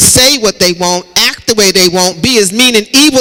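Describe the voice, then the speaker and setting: The man projects a raised voice. He talks at a fairly slow pace. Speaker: pastor. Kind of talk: sermon delivered to a congregation.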